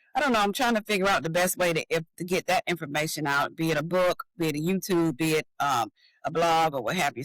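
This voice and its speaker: Delivery comes at a fairly quick pace. The speech is in a Southern US accent. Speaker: author and designer. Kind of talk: interview.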